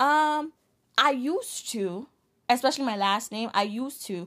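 A woman with a New York accent at a fairly slow pace. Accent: New York American. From Ghana-born, grew up in the Bronx, New York. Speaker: podcast co-host. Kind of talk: casual chat.

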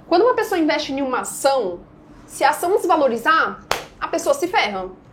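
A woman's voice makes very wide pitch swings amid noticeable background noise. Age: 20s. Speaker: day trader. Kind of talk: podcast interview.

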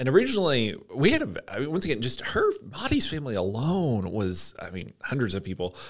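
A man talks in a Southern US accent. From US South, Georgia (Hampton, south of Atlanta). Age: 30s. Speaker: church staff member. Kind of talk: casual interview.

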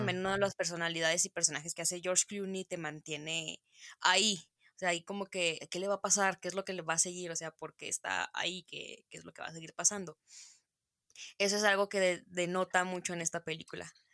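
In a very fast, monotone, flat delivery, a woman speaks at a fairly low pitch with a bright, sharp tone and big swings in loudness. The recording is very clean, with a silent background and a dry, close sound with no echo. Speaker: film podcast co-host. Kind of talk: casual chat.

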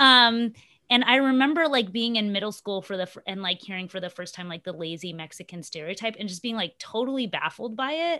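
Speaking with an American accent at a fairly quick pace, a woman has a medium pitch, a bright, sharp tone and big swings in loudness. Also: quiet background. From US, Ohio then Texas. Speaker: podcast host. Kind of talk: casual chat.

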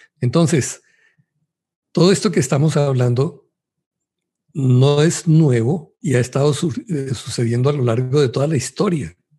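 A man with a fairly high pitch and a dark, mellow tone sounds somewhat breathy, with ordinary pitch variation. He moves at a fairly slow pace, takes long, frequent pauses, and keeps a very even loudness. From Colombia. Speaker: Bible study panelist. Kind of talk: religious Bible study discussion.

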